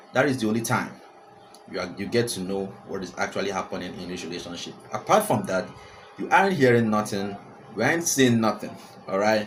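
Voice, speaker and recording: A man with a Nigerian accent, fairly low pitch and ordinary pitch variation, at a fairly quick pace broken by long, frequent pauses, with big swings in loudness, audible room echo and noticeable background noise. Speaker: celebrity gossip vlogger. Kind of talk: casual commentary to camera. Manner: animated, repetitive; frequent fillers and hesitations.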